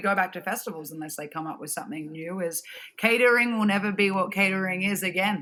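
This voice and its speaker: In an Australian accent, a woman speaks at a fairly quick pace with a bright, sharp tone. Her intonation stays fairly even. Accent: Australian, harsh sounding. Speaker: festival production director. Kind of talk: casual chat.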